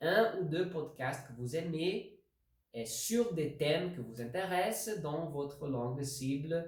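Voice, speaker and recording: With lively intonation, a fairly high-pitched man talks at a very slow pace. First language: not French (speaking French). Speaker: language learning video host. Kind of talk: tutorial. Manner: halting.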